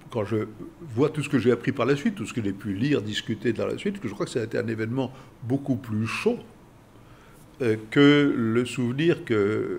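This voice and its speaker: A man talks at a medium pitch and a fairly slow pace, with vocal fry and ordinary pitch variation. He leaves long, frequent pauses. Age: 80s+. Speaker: international relations expert. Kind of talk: interview. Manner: halting, frequent hesitations.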